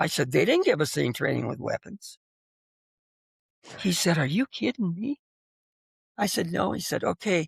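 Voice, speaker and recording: A woman speaks with an American accent and vocal fry. Her pace is moderate. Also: dry, close sound with no echo. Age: 80s+. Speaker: war veteran. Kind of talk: interview answer.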